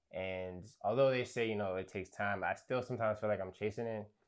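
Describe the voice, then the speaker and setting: A man's fairly low voice with an American accent and fairly even intonation, over a quiet background. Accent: New York, comes and goes. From New York, Brooklyn. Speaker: rapper and producer. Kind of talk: interview. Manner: hesitant, many fillers.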